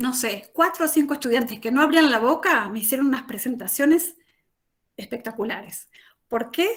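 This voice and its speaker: Lively intonation marks this woman's high voice. She speaks at a moderate pace. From Argentina, Chaco province. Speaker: language teacher, academic. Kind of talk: panel talk, presentation. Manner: conversational, many fillers.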